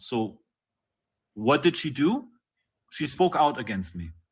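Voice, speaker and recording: With a non-native accent and vocal fry, a man speaks at a moderate pace in a fairly high pitch, his voice making very wide pitch swings. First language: not English. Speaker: interviewee. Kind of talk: live-streamed interview. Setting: live stream.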